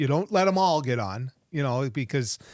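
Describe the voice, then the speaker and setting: In an American accent, a man with a plain, everyday voice speaks at a moderate pace. His pitch is fairly high and his intonation lively. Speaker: radio talk show host and former politician. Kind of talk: podcast interview answer.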